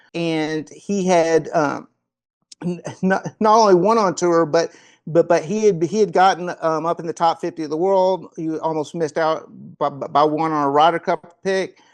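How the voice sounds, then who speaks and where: With a Kentucky accent, a man speaks at a moderate pace in a high pitch and fairly even intonation against a quiet background. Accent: Kentucky Southern US. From Kentucky, US South (Paducah). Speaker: golf performance coach. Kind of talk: interview conversation.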